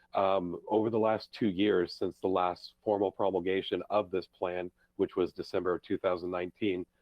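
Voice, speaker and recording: This man's voice sits very deep and low in pitch. He speaks in a monotone, flat way. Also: moderate pace. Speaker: county emergency management analyst. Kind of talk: presentation to a public board. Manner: many filler words (um, uh).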